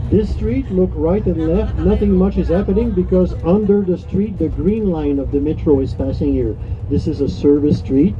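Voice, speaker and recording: Speaking at a moderate pace in a Quebec accent, a man is heard with audible room echo and noticeable background noise. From Quebec, Montreal. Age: 60s. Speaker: tour guide. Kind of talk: guided tour commentary. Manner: animated.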